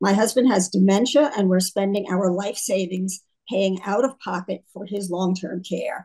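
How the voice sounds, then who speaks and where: Somewhat breathy and of medium pitch, a woman speaks at a moderate pace with fairly even intonation. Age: 80s+. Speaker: retired physician and health care advocate. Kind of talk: press conference speech. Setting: press conference.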